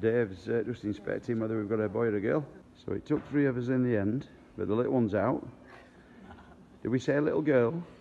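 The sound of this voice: A man's dark, mellow voice at medium pitch, with vocal fry, ordinary pitch variation and a fairly quick pace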